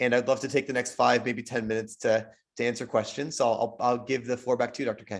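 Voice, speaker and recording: A man speaks at a very fast pace in a monotone, flat intonation. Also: medium pitch for a man. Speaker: physician and health system leader. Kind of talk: invited lecture webinar. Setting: webinar.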